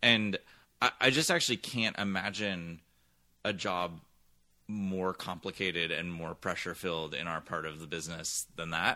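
A man speaks with an American accent in a very deep, low voice that has a bright, sharp tone. The recording is very clean with a silent background, and his loudness swings widely while his pitch varies in an ordinary way. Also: moderate pace. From US West Coast, San Francisco Bay Area. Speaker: television executive. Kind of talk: interview.

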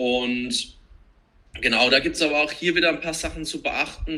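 A man talks fairly slowly. There is noticeable background noise. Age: 30s. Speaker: CrossFit trainer, digital nomad. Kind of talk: casual chat.

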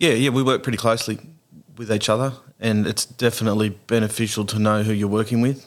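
A man with an Australian accent speaks very fast in a flat monotone at a medium pitch, on a very clean recording with a silent background. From Tasmania, Australia. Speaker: paramedic. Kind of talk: casual interview. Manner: halting, with repetitions.

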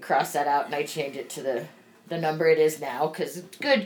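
At a moderate pace, a woman is talking. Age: 40s. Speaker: podcast host. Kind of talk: casual chat.

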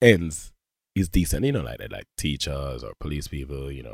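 With vocal fry and very wide pitch swings, a man speaks in an animated tone, the sound dry and close with no echo. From Jamaica. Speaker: film director and actor. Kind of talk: casual interview chat. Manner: animated, slangy.

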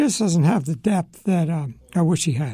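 A man speaks in a dark, mellow tone at a fairly slow pace, his pitch swinging very widely. The recording is very clean, with a silent background. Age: 70s. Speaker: radio host. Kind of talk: solo radio commentary. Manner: conversational, halting with fillers.

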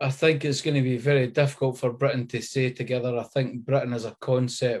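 With a Scottish accent, a man speaks at a medium pitch in a dark, mellow tone and a monotone, flat delivery, on a very clean recording with a silent background. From Scotland. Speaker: writer and activist. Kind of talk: panel discussion.

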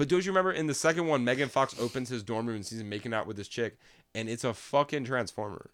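Animated and at a very fast pace, a man talks at a medium pitch with lively intonation on a very clean recording with a silent background. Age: 20s. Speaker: podcast co-host. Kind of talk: casual chat.

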